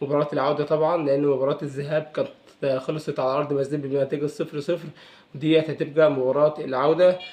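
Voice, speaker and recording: A man's fairly high voice at a moderate pace, in a flat monotone. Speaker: football commentator youtuber. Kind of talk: casual vlog. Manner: hesitant with fillers.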